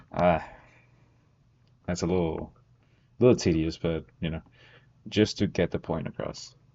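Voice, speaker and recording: Speaking with a non-native accent, a man with a very deep, low pitch keeps his intonation fairly even at a moderate pace, with long, frequent pauses. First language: not English. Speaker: student streamer. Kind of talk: study-with-me tutorial. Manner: casual, thinking aloud.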